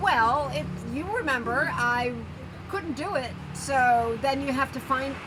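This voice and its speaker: A woman's high voice with audible room echo and noticeable background noise. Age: 60s. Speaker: yoga and handstand practitioner, travel vlogger. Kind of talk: casual interview. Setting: cafe. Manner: halting, many fillers.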